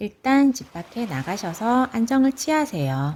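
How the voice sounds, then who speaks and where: Somewhat breathy, a woman speaks fairly slowly with very wide pitch swings. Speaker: parent. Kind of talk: informal advice talk to camera.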